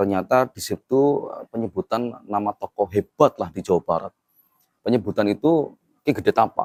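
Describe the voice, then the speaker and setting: A man's medium-pitched voice, lively in intonation, at a moderate pace, with a dry, close sound and no echo. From Tegal, Central Java, Indonesia. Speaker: grave heritage researcher. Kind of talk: casual interview. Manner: animated storytelling.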